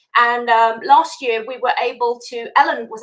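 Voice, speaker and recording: With a British accent, a woman speaks in a high voice with a bright, sharp tone. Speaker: panelist. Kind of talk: panel discussion.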